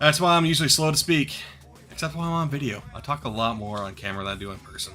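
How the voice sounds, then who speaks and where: Talking at a very fast pace, a man with a fairly high pitch uses lively intonation and big swings in loudness. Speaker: card vendor streamer. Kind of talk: live stream pack opening. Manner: pauses before words.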